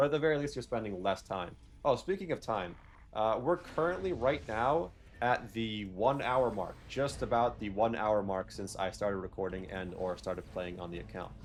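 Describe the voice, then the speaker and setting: A man speaks at a moderate pace in a fairly low voice. His intonation is lively. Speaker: gaming video creator. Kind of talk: gameplay commentary. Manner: halting, stumbles over words.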